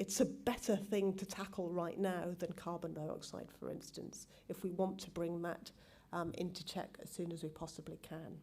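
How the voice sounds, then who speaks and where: Over audible room echo, a woman with a fairly low, dark and mellow voice speaks at a moderate pace in a flat monotone, with vocal fry. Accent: strong British. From England. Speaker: genetics professor. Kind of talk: conference talk. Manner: hesitant, many ums.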